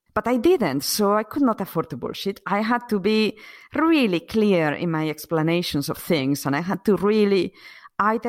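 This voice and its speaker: On a very clean recording with a silent background, a woman with a Spanish accent speaks at a medium pitch and moderate pace with very wide pitch swings. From Spain, Asturias. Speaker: acupuncturist, former computer scientist. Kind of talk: casual interview chat.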